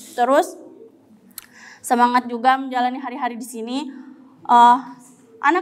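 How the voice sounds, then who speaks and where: Here a woman is speaking. Her pitch is high. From Riau, Sumatra. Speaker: Quran student. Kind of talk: short religious talk. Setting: mosque after evening prayer. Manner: casual, hesitant. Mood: encouraging, warm. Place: studio. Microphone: handheld.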